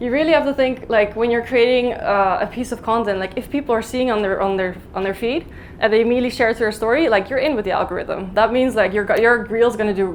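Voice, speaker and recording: A woman with a fairly high pitch talks at a very fast pace amid audible room echo. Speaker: vegan content creator giving a talk. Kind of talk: conference talk. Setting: stage with audience.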